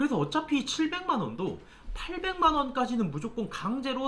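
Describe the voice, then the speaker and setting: Clear background noise runs under the recording. The talking goes at a medium speed. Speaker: tax accountant YouTuber. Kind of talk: tutorial.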